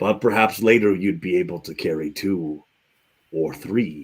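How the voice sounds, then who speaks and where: Putting on a character voice, a man speaks at a moderate pace with fairly low pitch and lively intonation. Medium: actual play. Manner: measured, cryptic.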